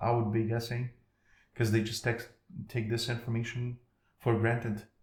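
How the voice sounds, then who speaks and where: A breathy-ish man in a Ukrainian accent, medium pitch and monotone, flat intonation. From Ukraine. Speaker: podcast guest. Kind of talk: casual interview chat. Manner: halting, self-correcting.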